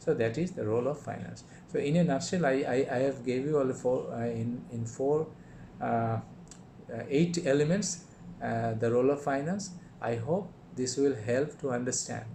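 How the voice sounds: A man speaks at a moderate pace and medium pitch, his tone dark and mellow, with ordinary pitch variation.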